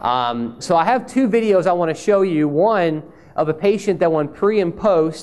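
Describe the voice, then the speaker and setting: In a Southern US accent, a man with a high voice speaks with lively intonation amid audible room echo. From Mississippi. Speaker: speech pathologist. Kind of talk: conference talk. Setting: stage with audience. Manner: conversational.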